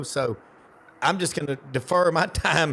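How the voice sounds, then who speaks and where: A man speaks in a Southern US accent. His pitch is fairly high. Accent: noticeable Southern. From US South, Memphis, Tennessee. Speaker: sports show co-host. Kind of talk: casual chat. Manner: enthusiastic.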